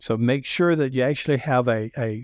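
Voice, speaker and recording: A man speaks at a moderate pace in a strong Southern US accent. The sound is dry and close with no echo, on a very clean recording with a silent background. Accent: deep Southern US. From US South. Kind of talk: interview about sales.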